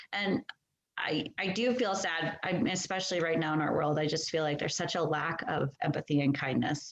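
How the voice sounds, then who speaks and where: This woman has a normal speaking voice, pitched fairly low. She talks at a moderate pace with ordinary pitch variation. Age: 40s. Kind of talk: podcast interview answer.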